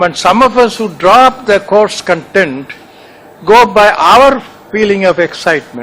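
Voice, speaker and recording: Over noticeable background noise, a man talks with lively intonation at a high pitch. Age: 80s+. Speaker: retired senior civil servant. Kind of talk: speech at a meeting.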